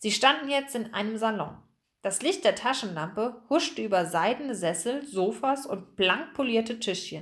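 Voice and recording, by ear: A natural voice reads aloud. Nothing can be heard in the background.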